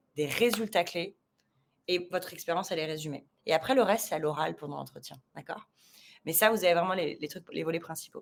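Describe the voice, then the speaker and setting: Here a woman talks. Her pitch variation is ordinary. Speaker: recruiter. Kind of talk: live discussion. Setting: live video stream. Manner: fast.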